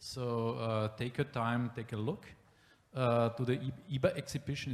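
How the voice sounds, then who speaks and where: A man with a German accent speaks at a moderate pace and medium pitch, somewhat breathy, with fairly even intonation. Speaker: city planning official. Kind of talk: panel discussion. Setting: exhibition room with live audience. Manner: halting.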